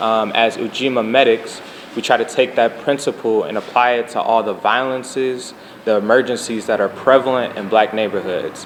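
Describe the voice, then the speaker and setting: A soft-spoken man with fairly even intonation over noticeable background noise. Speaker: community medic trainer. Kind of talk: interview. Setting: live stream with audience.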